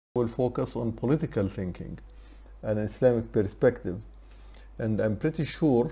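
A man speaks at a fairly low pitch in a dark, mellow tone. His voice is somewhat breathy. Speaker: lecturer. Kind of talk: lecture. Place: home room. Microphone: webcam.

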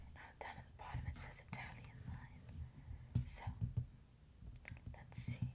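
Loud background noise runs under speech delivered at a fairly slow pace. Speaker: ASMR creator. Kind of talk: ASMR video.

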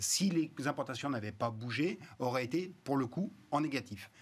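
A man's voice at a fairly slow pace, with ordinary pitch variation. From Rhône-Alpes, France. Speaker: economist, research institute director; TV guest. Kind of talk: panel discussion. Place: studio. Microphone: lapel.

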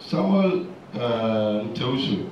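A man speaks with lively intonation. There is audible room echo and light background noise. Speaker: pharmacist and seminar chair. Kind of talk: seminar introduction and commentary. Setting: seminar room with audience. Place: hall.

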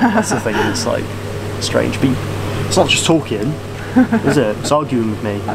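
Noticeable background noise accompanies the man as he speaks. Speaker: girlfriend's partner and co-host. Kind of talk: casual talk to camera. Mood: joking, playful. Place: garden. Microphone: camera far.

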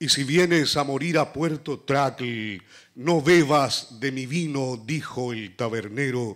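Against a quiet background, a man with a fairly high pitch speaks at a very slow pace with ordinary pitch variation. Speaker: poet. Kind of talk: poetry reading. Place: hall. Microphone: podium.

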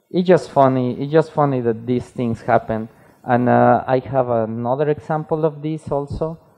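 A man with a Spanish accent and fairly even intonation, over a quiet background. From Mexico. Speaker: type designer; conference speaker. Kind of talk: conference talk. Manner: halting. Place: hall. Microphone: headset.

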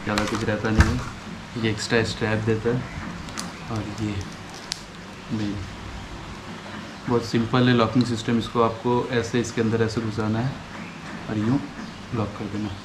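A man's fairly low voice with little pitch movement, a moderate pace, long, frequent pauses, and clear background noise.

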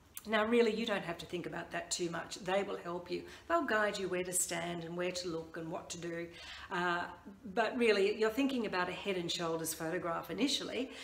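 Audible room echo surrounds a woman speaking at a fairly quick pace with ordinary pitch variation. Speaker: branding coach. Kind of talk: tutorial. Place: home room. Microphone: phone near.

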